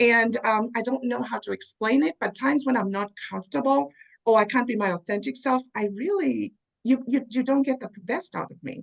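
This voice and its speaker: With a Zambian accent, the speaker uses lively intonation and big swings in loudness. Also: woman, high pitch for a woman, moderate pace, dry, close sound with no echo. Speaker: DEI leader. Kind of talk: interview.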